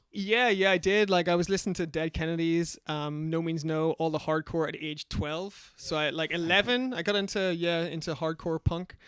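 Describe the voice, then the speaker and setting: In a very clean recording with a silent background, a man with a Northern Irish accent and a high pitch talks at a moderate pace with fairly even intonation and hardly any pauses. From Northern Ireland, Belfast. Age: 40s. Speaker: magazine founder and DJ. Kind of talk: casual interview chat.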